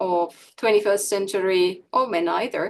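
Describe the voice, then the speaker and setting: A woman with a Finnish accent speaks at a medium pitch. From Finland. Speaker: democracy expert. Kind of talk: conference presentation. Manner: formal.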